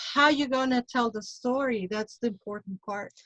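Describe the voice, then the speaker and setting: Her pitch is fairly high, and she speaks with a Mexican accent. This woman's intonation stays fairly even. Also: dry, close sound with no echo. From Mexico. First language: Spanish. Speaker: tarot reader and witch. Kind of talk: casual panel discussion.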